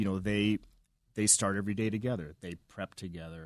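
With a Canadian accent and a plain, everyday voice, a man talks at a fairly quick pace and a fairly low pitch, the sound dry and close with no echo against a quiet background. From Canada (Vancouver). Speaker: restaurant manager. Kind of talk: interview.

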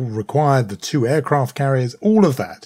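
A man with a British accent talks at a moderate pace in a medium pitch. His intonation is lively and his voice somewhat breathy. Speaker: podcast co-host and journalist. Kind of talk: casual current-affairs discussion.

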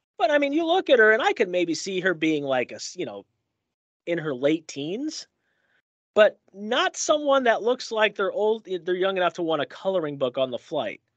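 Heard dry and close with no echo over a quiet background, a man's high-pitched voice makes very wide pitch swings. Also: moderate pace. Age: 30s. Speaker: radio host. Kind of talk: casual chat.

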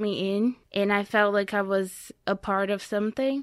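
At a fairly slow pace and with fairly even intonation, the speaker talks in a Brazilian accent on a very clean recording with a silent background. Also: woman. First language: Portuguese. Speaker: immigrant and former college athlete. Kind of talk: interview conversation. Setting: studio.

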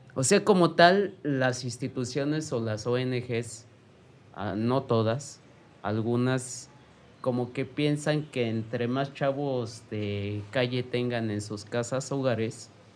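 Speaking at a very slow pace, the man has a medium-pitched voice with ordinary pitch variation. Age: 40s. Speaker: former street youth, book co-author. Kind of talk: interview testimony. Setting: studio.

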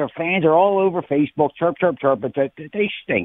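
Ordinary pitch variation in an American accent. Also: man. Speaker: caller, sports fan. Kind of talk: call-in. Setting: phone call. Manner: halting.

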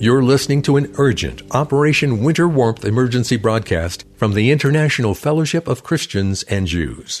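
With an unremarkable speaking voice, a man of medium pitch talks at a fairly quick pace with lively intonation, very even loudness and hardly any pauses. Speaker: radio announcer. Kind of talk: scripted fundraising appeal narration. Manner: formal.

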